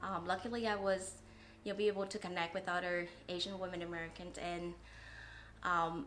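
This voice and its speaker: A woman's fairly low-pitched voice at a fairly quick pace, with audible room echo. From Vietnam. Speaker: coffee shop owner. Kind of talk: interview testimony.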